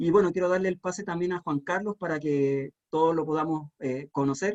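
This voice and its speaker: With a Chilean accent, a man speaks at a moderate pace and a high pitch, with ordinary pitch variation, in a dry, close sound with no echo. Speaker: panel moderator. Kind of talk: panel discussion.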